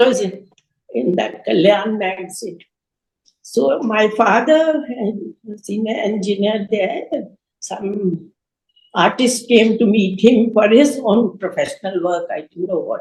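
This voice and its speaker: Fairly slow and full of long, frequent pauses, a woman speaks in a fairly high, somewhat breathy voice with ordinary pitch variation. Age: 80s+. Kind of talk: interview answer.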